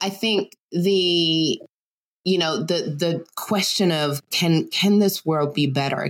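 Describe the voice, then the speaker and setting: A woman with an American accent speaks at a very slow pace with ordinary pitch variation. The sound is dry and close, with no echo. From Germany (US military family). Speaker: anti-racism educator. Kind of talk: casual interview.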